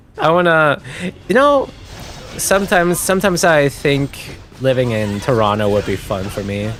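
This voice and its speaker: Fairly high male voice at a moderate pace, with very wide pitch swings and noticeable background noise. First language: German. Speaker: vtuber streamer. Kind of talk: casual livestream chat. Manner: casual, hesitant with fillers.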